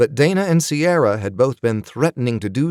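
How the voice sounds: Here is a natural reading voice with lively intonation.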